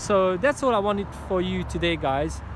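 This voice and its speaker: The speech comes with a Hungarian accent. The pace is moderate. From Hungary. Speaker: motivational speaker. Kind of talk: motivational talk. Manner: animated; halting.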